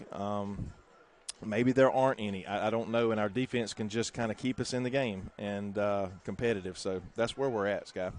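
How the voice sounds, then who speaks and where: In a Southern US accent, the speaker keeps a moderate pace with fairly even intonation. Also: man, fairly low pitch for a man. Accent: Southern US (Georgia). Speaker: high school football play-by-play announcer. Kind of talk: live sports commentary. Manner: halting, many fillers.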